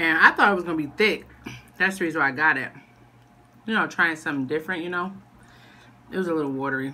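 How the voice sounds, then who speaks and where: Speaking at a very fast pace, a woman has a very deep, low pitch with ordinary pitch variation. Her tone is bright and sharp. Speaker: mother vlogger. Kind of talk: casual mukbang vlog chat. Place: home room. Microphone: phone near.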